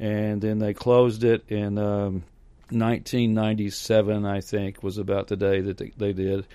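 A man's fairly low, dark, mellow voice with an American accent and monotone, flat intonation. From Hopkinsville, Kentucky, US South. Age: 60s. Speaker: professional clown and balloon artist. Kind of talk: casual interview.

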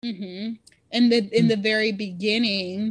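A woman with an American accent speaks at a fairly high pitch. Her intonation is monotone and flat, against a quiet background. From Irving, Texas (Dallas area). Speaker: convert to Islam, healthcare worker. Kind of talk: interview testimony.

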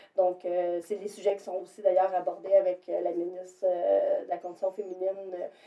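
Over noticeable background noise, a woman talks at a moderate pace. Her medium-pitched voice has a monotone, flat intonation. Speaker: shelter worker for abused women, podcast co-host. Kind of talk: casual chat.

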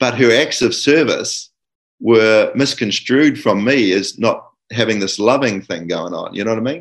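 Speaking with a New Zealand accent, a man at a medium pitch keeps a moderate pace and ordinary pitch variation against a quiet background. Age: 60s. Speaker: guest father sharing experiences. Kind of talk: casual interview chat.

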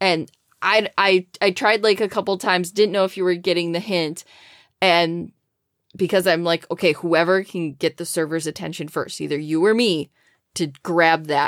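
A woman with an American accent speaks in an ordinary speaking voice, fairly low in pitch and at a moderate pace, with fairly even intonation. The recording is very clean and silent behind her, with a dry, close sound and no echo. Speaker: podcast co-host. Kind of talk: casual chat.

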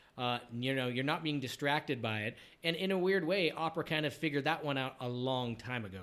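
At a fairly quick pace, a man with an unremarkable speaking voice talks in a medium pitch with ordinary pitch variation. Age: 40s. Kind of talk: casual interview.

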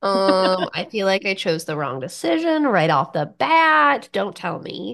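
At a fairly slow pace, a woman with a medium pitch speaks with very wide pitch swings. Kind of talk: casual chat, improvised reactions. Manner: chatty, animated, laughs often, hesitant.

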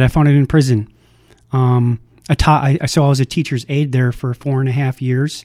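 A man with an unremarkable speaking voice and a fairly high pitch talks at a fairly quick pace. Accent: American. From Minnesota. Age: 40s. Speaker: recovery house manager. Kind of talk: personal testimony.

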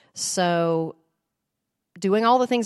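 A woman is speaking. The sound is dry and close with no echo, and the background is quiet. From US South, small-town Tennessee. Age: 50s. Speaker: voice teacher. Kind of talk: testimony. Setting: women's Bible study group.

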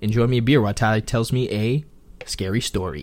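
Here is a plain, everyday voice. Its pitch rises and falls in an ordinary way. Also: man. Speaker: podcast co-host. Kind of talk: casual chat. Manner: laid-back, joking, profane.

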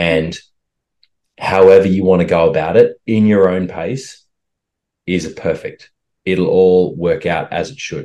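A man with an Australian accent speaks at a fairly slow pace with big swings in loudness. He takes long, frequent pauses. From Australia, rural western Queensland. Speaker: holistic health coach and actor. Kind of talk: interview conversation.

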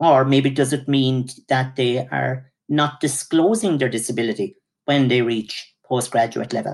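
A man at a moderate pace with an Irish accent and a medium pitch. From Ireland. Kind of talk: interview.

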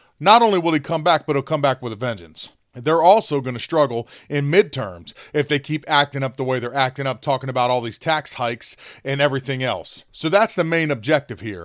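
In a very clean, dry, close recording with no echo and a silent background, a man with an American accent and a normal speaking voice talks fairly quickly at a fairly high pitch with lively intonation. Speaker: podcast host. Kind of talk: political commentary monologue.

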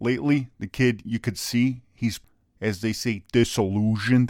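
The recording is very clean, with a silent background and a dry, close sound with no echo. A man speaks in an animated tone at medium pitch, with ordinary pitch variation and a fairly slow pace. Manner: animated, ranting, sarcastic.

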